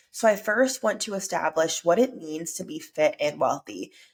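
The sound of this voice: The pace of this woman's speech is moderate. Her pitch moves with ordinary variation.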